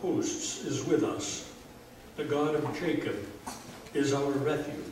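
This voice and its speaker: A man at a fairly high pitch, a very slow pace and long, frequent pauses, with audible room echo and light background noise. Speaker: pastor. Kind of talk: funeral eulogy. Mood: solemn, measured. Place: church. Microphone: camera far.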